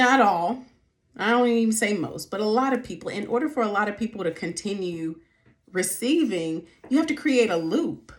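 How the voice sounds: A woman speaks at a medium pitch. Her intonation is lively.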